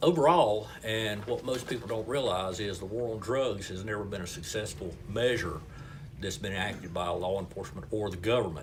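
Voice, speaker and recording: Through noticeable background noise and audible room echo, a man with a fairly low pitch speaks at a moderate pace with ordinary pitch variation. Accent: North Carolina. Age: 60s. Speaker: local party chairman, retired paramedic. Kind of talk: interview. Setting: restaurant.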